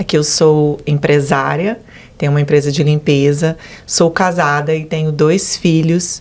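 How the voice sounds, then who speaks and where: A woman talks at a fairly slow pace. Her voice has a very deep, low pitch. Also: fairly even intonation. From Brazil, Goiânia. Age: 40s. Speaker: business owner giving religious testimony. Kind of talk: testimony interview.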